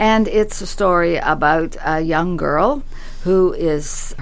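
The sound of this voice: An unforced reading voice is what comes through here.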